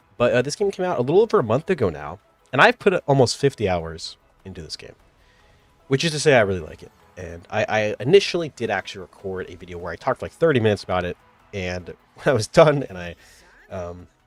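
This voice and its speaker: Over music in the background, a man talks at a very fast pace with very wide pitch swings and big swings in loudness. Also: medium pitch for a man, dry, close sound with no echo. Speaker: gaming youtuber. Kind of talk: casual video game review monologue. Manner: casual, many filler words.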